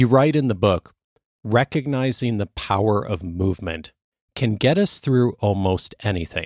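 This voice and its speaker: A man's ordinary speaking voice, fairly low and lively in intonation, at a moderate pace, in a dry, close sound with no echo and a very clean recording with a silent background. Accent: General American. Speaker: podcast host. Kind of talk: interview conversation.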